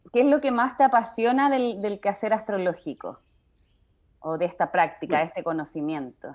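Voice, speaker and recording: Against a quiet background, a woman with a medium-pitched voice talks at a fairly quick pace with very wide pitch swings. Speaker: podcast host, astrology writer. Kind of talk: interview conversation.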